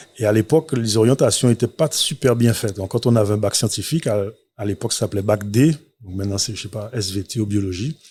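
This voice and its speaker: Ordinary pitch variation from a man speaking fairly quickly. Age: 40s. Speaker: entrepreneur, restaurant owner. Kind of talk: interview. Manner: hesitant, many fillers.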